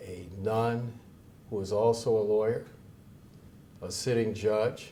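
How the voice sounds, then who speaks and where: A man speaks very slowly at a fairly low pitch, his tone dark, mellow and somewhat breathy. His intonation is monotone and flat, with audible room echo around him. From Chicago West Side, US. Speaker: lawyer and judge, association president. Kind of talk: inaugural speech. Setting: event with live and Zoom audience. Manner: formal.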